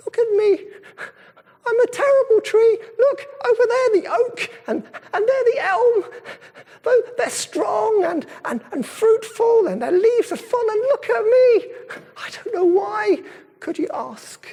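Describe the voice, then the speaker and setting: At a fairly slow pace, a man puts on a squeaky character voice pitched extremely high. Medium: read story.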